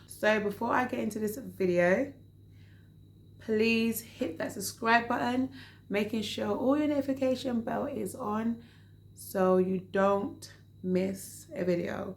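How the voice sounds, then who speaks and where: Using a put-on character voice, a woman speaks in a calm tone, raspy and at medium pitch, at a fairly slow pace. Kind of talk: casual youtuber tone. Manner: talking very slowly, calm.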